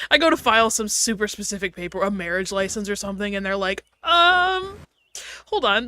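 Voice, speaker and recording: A woman with an ordinary speaking voice, medium in pitch, fairly quick, with lively intonation. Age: 20s. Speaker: streamer's guest co-playing a game. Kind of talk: casual chat while gaming on a livestream.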